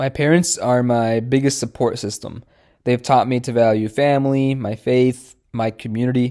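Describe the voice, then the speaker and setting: With a Midwestern US accent, a man talks at a moderate pace in a dark, mellow tone. The recording is very clean, with a silent background. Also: medium pitch for a man, fairly even intonation. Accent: General American, Midwestern. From Michigan, US Midwest. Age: 20s. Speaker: dentist. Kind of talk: recorded self-introduction presentation. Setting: pre-recorded presentation.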